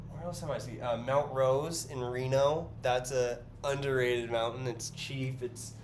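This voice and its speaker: A man with a medium pitch and an American accent, fairly slow and monotone with flat intonation, in audible room echo. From US West Coast, San Francisco Bay Area. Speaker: artist and livestreamer. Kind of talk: casual livestream chat while painting. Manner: filler-heavy, hesitant.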